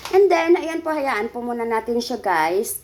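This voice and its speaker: A voice at a moderate pace comes through over noticeable background noise. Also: woman. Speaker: cooking vlogger. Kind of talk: cooking tutorial. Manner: casual, chatty.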